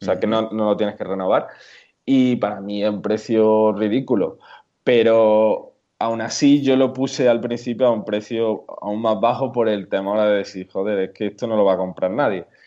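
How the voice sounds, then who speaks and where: In an Andalusian accent, a man speaks at a moderate pace with a fairly low pitch and a dark, mellow tone. His intonation is fairly even, against a quiet background. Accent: southern Spanish (Andalusian). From Andalusia, Córdoba. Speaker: WooCommerce plugin developer and blogger. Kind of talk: casual interview.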